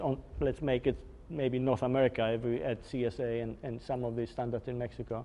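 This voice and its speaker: Speaking with a Polish accent, a man talks at a fairly quick pace. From Poland. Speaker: engineering executive presenter. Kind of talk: technical webinar lecture. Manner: hesitant with fillers.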